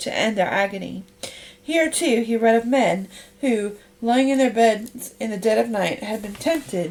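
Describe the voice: The pitch variation is ordinary. Everything is plain reading aloud.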